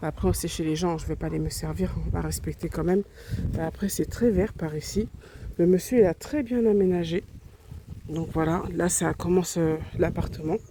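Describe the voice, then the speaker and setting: Noticeable background noise runs behind a woman's voice. She keeps a moderate pace with long, frequent pauses. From Réunion. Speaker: travel vlogger. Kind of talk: vlog home tour. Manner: soft-spoken; halting.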